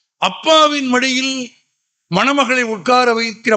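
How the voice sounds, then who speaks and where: His tone comes across bright and sharp. This man's voice is raised and projected. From Tamil Nadu, Madurai. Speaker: public speaker. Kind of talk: public speech. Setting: stage with audience.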